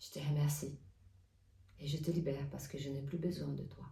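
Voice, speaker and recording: With audible room echo and noticeable background noise, a woman with a non-native accent speaks at a very deep, low pitch. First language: not French (speaking French). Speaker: oracle card reader and artist. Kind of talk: spiritual guidance talk. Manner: hesitant, many fillers.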